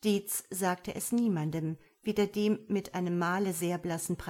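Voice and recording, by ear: Here someone is reading aloud in a natural voice.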